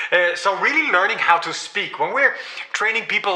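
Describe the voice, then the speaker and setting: Against noticeable background noise, a man with a Danish accent speaks at a fairly quick pace. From Denmark. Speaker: AI trainer. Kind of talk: live-stream tutorial. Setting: livestream. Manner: halting, many fillers and repeats.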